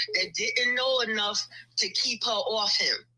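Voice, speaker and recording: A woman speaks over noticeable background noise. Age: 60s. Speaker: caller. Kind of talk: casual chat.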